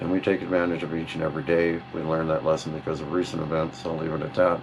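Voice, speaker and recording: The man's voice is very deep and low in pitch. Noticeable background noise accompanies it. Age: 50s. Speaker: motorcycle vlogger. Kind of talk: self-introduction interview monologue. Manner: halting, with many fillers.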